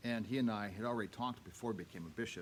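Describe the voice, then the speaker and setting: Room echo is audible around this man. He speaks fairly quickly. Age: 70s. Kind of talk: parish update talk to congregation. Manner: halting, many fillers.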